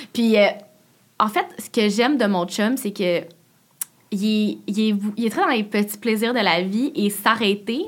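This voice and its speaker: Fairly slow talk from a woman in a normal speaking voice, fairly high-pitched, with its pitch varying in an ordinary way. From Quebec, Laval. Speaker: YouTuber and content creator. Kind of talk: casual interview chat.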